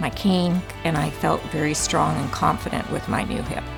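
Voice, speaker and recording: A woman keeps a moderate pace as music sounds in the background. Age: 60s. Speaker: hip replacement patient. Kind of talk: interview answer.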